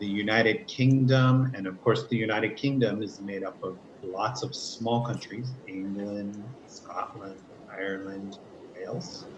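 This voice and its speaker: A man with an American accent and a fairly low pitch speaks at a fairly slow pace with ordinary pitch variation, in an unremarkable speaking voice. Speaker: English teacher. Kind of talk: online class lesson.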